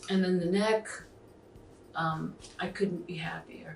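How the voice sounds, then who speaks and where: Over music in the background, a woman with a medium pitch speaks fairly slowly in a flat monotone. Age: 60s. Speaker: actor and comedian, facelift patient. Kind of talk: interview testimony.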